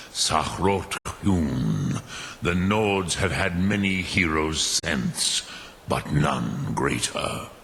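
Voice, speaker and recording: Through clear background noise, a man in a put-on character voice speaks very slowly at a very deep, low pitch. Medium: video game. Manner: slow, measured, solemn.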